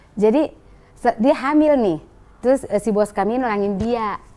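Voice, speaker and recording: A woman speaks in a dark, mellow tone at a fairly slow pace with lively intonation. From North Sumatra (Batak). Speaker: business owner sharing life story. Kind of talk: testimony. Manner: animated.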